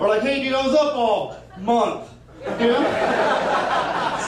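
The speaker is a man. Noticeable background noise and audible room echo are present. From California. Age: 40s. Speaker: comedian. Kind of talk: stand-up. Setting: stage with audience.

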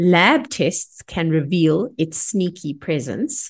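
The delivery is very slow and somewhat breathy. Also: woman. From South Africa. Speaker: podcast host, microbiology laboratory scientist. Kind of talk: podcast interview.

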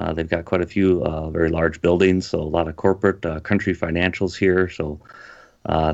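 A man's very deep, low voice with an Upper Midwest accent and fairly even intonation. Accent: Upper Midwest (Minnesota). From Minnesota, dairy farm. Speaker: pastor. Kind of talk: casual interview.

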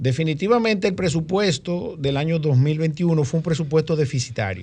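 Here a man speaks in an ordinary speaking voice at a fairly slow pace with lively intonation. The background is quiet.

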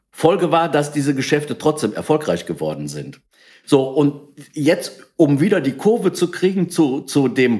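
The man's voice is fairly high, with vocal fry, at a moderate pace. The recording is very clean, with a silent background. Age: 60s. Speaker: entrepreneur, company founder. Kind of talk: interview.

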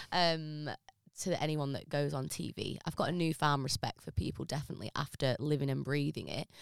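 A woman with an English accent talks at a fairly quick pace in a very deep, low pitch, with fairly even intonation. The sound is dry and close with no echo, on a very clean recording with a silent background. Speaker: business consultant and former reality TV contestant. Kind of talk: casual interview chat.

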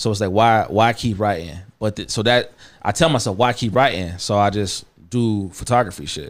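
A man with an American accent and an unremarkable speaking voice talks at a moderate pace, his fairly low pitch varying in an ordinary way, in a very clean recording with a silent background. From Missouri, US Midwest. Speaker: rapper and songwriter. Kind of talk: casual chat. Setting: studio.

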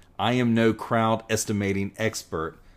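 A Southern US accent on a very clean recording with a silent background. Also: man. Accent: Southern American. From US South, North Carolina. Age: 40s. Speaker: podcast host. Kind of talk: solo podcast monologue. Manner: conversational, digressive.

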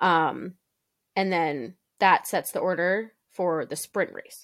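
Very clean recording of a woman at medium pitch, animated in tone, with a silent background. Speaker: podcast co-host. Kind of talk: casual chat. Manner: animated, chatty.

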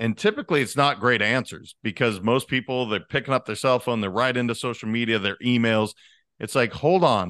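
In an American accent, a man uses a normal speaking voice at medium pitch with ordinary pitch variation, talking at a fairly quick pace in a dry, close sound with no echo against a quiet background. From Montana. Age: 40s. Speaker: leadership coach. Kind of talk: podcast interview. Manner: casual.

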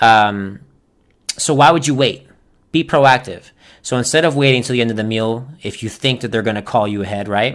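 A man with an American accent speaks at a moderate pace in a normal speaking voice, with ordinary pitch variation. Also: medium pitch for a man, very clean recording, silent background. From Florida, US South. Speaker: podcast host, restaurant manager. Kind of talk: casual solo podcast monologue.

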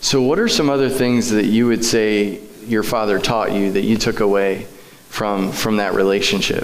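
Over noticeable background noise, a man speaks at a moderate pace and fairly low pitch, with very even loudness and fairly even intonation. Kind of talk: church interview. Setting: church.

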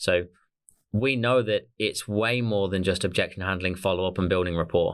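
A man with an Australian accent at a moderate pace, fairly low in pitch, very even in loudness, on a very clean recording with a silent background. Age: 30s. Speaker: sales coach, business co-founder. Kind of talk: interview conversation. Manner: hesitant, many fillers.

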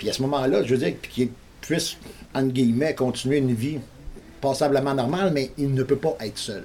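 Medium-pitched male voice with ordinary pitch variation, a moderate pace, and long, frequent pauses. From Montreal, Quebec. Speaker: local resident. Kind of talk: news interview.

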